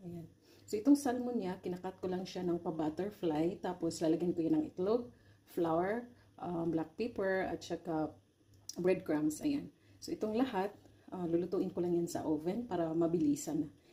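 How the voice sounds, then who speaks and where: A woman speaks at a moderate pace with lively intonation, her pitch fairly low. Her voice is somewhat breathy, with a dark, mellow tone. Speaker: cooking vlogger. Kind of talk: cooking tutorial. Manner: halting.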